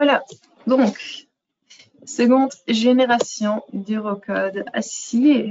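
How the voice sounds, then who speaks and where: A woman speaks very slowly in a high voice with a non-native accent. Her intonation stays fairly even, broken by long, frequent pauses. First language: not French (speaking French). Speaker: software product manager. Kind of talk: webinar presentation. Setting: online webinar. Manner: hesitant, many fillers.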